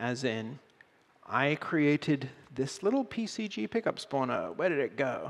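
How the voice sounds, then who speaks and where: Fairly slow and fairly high-pitched, a man speaks with very wide pitch swings. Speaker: game engine presenter. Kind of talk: conference talk with live demo. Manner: animated.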